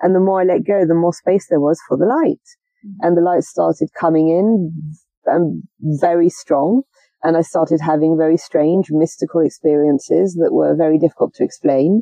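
Fairly low in pitch, a woman with an unremarkable speaking voice keeps a moderate pace, ordinary pitch variation and very even loudness. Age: 30s. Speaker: aspiring Buddhist nun. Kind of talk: interview. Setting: outdoors in a garden.

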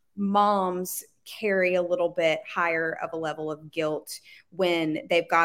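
This woman has a plain, everyday voice, a fairly low pitch, fairly even intonation and a moderate pace. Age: 20s. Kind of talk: interview.

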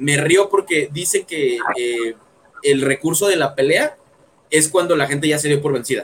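Lively intonation runs through this voice with a Mexican accent. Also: man. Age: 20s. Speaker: podcaster. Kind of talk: casual chat.

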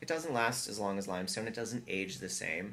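With an American accent and a normal speaking voice, a man talks at a fairly quick pace and a fairly low pitch. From US South, Atlanta. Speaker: architecture and design firm principal. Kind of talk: casual interview chat.

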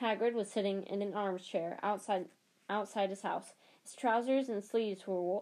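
The voice reads without strain. Its intonation is fairly even.

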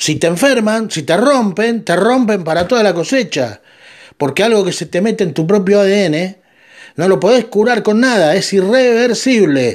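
On a very clean recording with a silent background, a man with a Rioplatense accent talks fairly slowly in a high voice with lively intonation. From Argentina. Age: 50s. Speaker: podcast host. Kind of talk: monologue commentary.

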